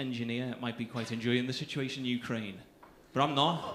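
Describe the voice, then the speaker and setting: A man speaks at a medium pitch with a Liverpool accent. There is audible echo in the room. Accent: Scouse. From Liverpool, England. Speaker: stand-up comedian. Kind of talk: stand-up. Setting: stage with audience.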